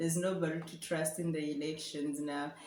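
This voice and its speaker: A woman with a South African accent speaks in a fairly low pitch with monotone, flat intonation, and audible room echo is present. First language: Afrikaans. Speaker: vlogger. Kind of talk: casual chat.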